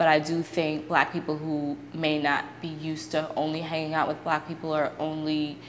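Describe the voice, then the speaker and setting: At a moderate pace, a voice in an American accent comes through noticeable background noise. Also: woman. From Brooklyn, New York. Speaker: university student. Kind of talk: interview answer.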